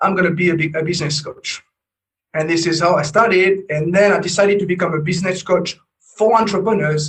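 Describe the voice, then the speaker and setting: This man speaks fairly quickly with a French accent and a high pitch. His intonation stays fairly even. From France. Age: 40s. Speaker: business coach. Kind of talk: interview. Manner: halting, many repetitions and fillers.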